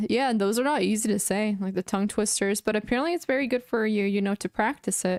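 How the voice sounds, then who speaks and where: A woman with a plain, everyday voice, fairly high in pitch, ordinary pitch variation, fairly quick pace, on a very clean recording with a silent background. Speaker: chess streamer. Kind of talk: casual chat.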